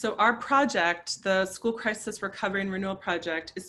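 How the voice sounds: The speaker uses a natural reading voice.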